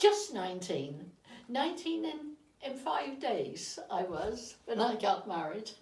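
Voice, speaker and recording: Speaking very slowly with a Dorset accent, a woman's fairly high voice makes very wide pitch swings amid noticeable background noise and audible room echo. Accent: Dorset West Country English. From Dorset, southern England. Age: 80s+. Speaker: interviewee recounting her life. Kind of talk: reminiscence interview. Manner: halting, with repetitions.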